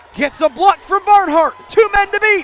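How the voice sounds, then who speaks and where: Background noise is noticeable in this clip. Here a man talks fairly slowly. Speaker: sports play-by-play announcer. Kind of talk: live football play-by-play call.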